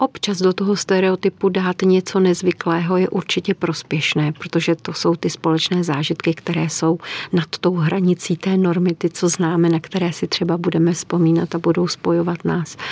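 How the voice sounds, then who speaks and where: A woman with a fairly low pitch and monotone, flat intonation speaks at a moderate pace in a dry, close sound with no echo. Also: hardly any pauses. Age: old. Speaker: sexologist and psychologist. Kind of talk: interview.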